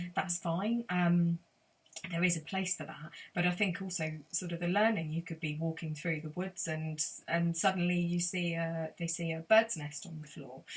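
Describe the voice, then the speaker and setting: A woman speaks at a fairly low pitch with fairly even intonation. Her voice is somewhat breathy. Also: moderate pace. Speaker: sound healer and forest school leader. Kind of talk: interview answer.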